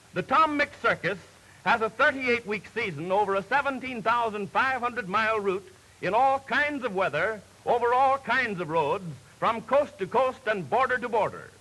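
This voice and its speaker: A man's raised, projected voice sits at an extremely high pitch with a bright, sharp tone. His intonation is lively and his pace moderate. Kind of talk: newsreel narration.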